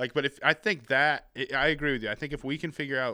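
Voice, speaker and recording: The sound is dry and close, with no echo. A man with a bright, sharp tone speaks at a fairly quick pace. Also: very clean recording, silent background. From New Hampshire, New England. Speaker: stand-up comedian. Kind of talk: casual chat. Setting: hotel room.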